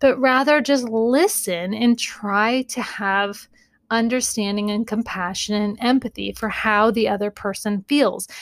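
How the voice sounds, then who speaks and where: A woman with an ordinary speaking voice talks at a fairly high pitch and a fairly slow pace. Her intonation is fairly even, and the recording is very clean with a silent background. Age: 40s. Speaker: therapist and podcast host. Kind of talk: casual advice monologue.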